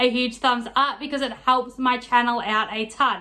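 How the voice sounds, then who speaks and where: A woman speaks with an Australian accent at a high pitch. Her intonation is monotone and flat. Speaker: lifestyle vlogger. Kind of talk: casual haul vlog talk. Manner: fast.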